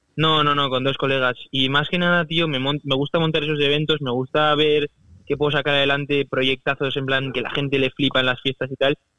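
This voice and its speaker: With a fairly high pitch, a man speaks at a fairly quick pace in a flat monotone, his loudness very even. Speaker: university student and entrepreneur. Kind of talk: interview. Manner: casual, halting.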